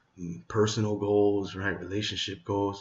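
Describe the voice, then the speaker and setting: A man whispering at a moderate pace, somewhat breathy. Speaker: entrepreneur vlogger. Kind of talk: casual vlog monologue. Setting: at home late at night.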